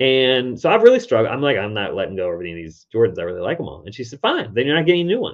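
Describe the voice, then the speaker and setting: A man talking at a very fast pace with hardly any pauses and big swings in loudness. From US South, Richmond, Virginia. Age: 40s. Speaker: decluttering expert and TV host. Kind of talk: casual interview.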